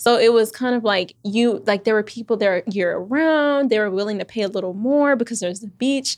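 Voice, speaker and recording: Fairly high in pitch, a woman with a plain, everyday voice and an American accent speaks at a fairly quick pace with hardly any pauses and ordinary pitch variation, against a quiet background. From Texas, Houston. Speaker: Airbnb entrepreneur. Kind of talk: interview. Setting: studio, in-person interview.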